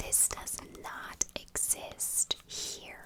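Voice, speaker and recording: A woman whispers over noticeable background noise. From Ireland. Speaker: ASMR creator. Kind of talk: casual talk to camera. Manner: whispered, soft-spoken.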